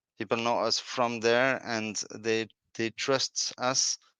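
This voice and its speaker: A man with a French accent speaks at a fairly slow pace in a bright, sharp tone, the sound dry and close with no echo on a very clean recording with a silent background. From France. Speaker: prop firm founder. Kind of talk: interview. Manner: halting.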